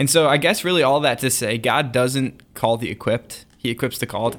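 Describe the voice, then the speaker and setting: A man with an ordinary speaking voice at a fairly quick pace, medium pitch and ordinary pitch variation, on a very clean recording with a silent background. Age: 20s. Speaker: podcast co-host. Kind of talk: casual chat.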